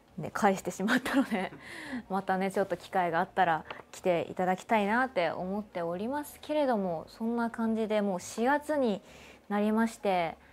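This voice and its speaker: A woman speaks at a medium pitch and moderate pace with ordinary pitch variation. Her loudness swings widely. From Kanagawa, Japan. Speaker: voice actor and show host. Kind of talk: casual talk to camera, livestream radio-style show. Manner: cheerful, chatty. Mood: cheerful, friendly. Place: studio. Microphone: lapel.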